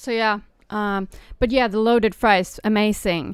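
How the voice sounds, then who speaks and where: The recording is very clean with a silent background. A woman with a non-native accent talks at medium pitch and a moderate pace. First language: not English. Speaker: streamer. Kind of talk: casual chat. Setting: live stream during lunch break. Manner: eating while talking.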